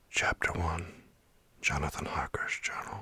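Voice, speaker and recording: Whispering in a calm tone comes through over noticeable background noise. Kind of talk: ASMR bedtime story reading of a classic gothic novel. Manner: soft, calm, relaxing.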